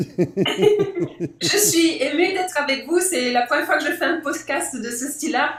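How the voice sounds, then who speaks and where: The speaker talks at a very slow pace with hardly any pauses. The pitch swings very widely over noticeable background noise. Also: woman, high pitch for a woman. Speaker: globetrotter sharing life lessons. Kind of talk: podcast interview. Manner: hesitant, with fillers.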